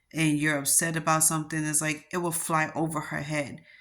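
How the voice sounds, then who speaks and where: A woman with a New York accent speaks at a fairly quick pace. Her pitch is very deep and low. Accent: New York accent, noticeable. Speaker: vlogger. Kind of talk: personal vlog monologue.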